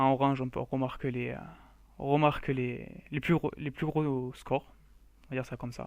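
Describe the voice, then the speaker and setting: At a moderate pace, a man speaks at a medium pitch in a monotone, flat intonation broken by long, frequent pauses. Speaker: gaming youtuber. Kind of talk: gameplay commentary. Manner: halting, stammering.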